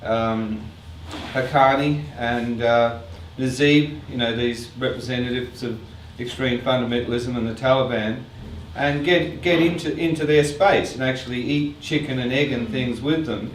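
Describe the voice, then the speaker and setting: With audible room echo and noticeable background noise, a man of medium pitch talks at a moderate pace with ordinary pitch variation. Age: 60s. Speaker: artist and filmmaker. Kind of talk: artist talk Q&A with audience.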